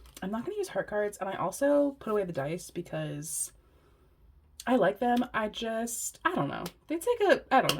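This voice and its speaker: Her voice fairly high and somewhat breathy, a woman talks at a fairly quick pace with very wide pitch swings. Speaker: tarot reader. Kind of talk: tarot reading. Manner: casual, giggly.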